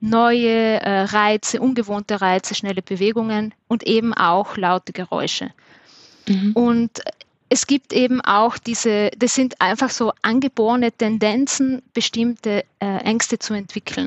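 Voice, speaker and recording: Using fairly even intonation, a woman speaks at a fairly slow pace and a fairly high pitch. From South Tyrol. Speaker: dog trainer. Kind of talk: casual interview.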